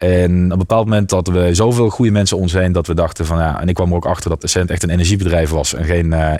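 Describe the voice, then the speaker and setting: A man's very deep, dark, mellow voice with fairly even intonation at a very fast pace. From Netherlands, Limburg (near Maastricht). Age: 30s. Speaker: entrepreneur, IT company founder. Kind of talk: interview.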